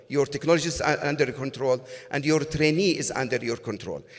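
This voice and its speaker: Over noticeable background noise, a man talks at a fairly quick pace in a fairly high voice. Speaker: cardiac imaging physician. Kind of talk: conference talk. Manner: fast; halting, many fillers.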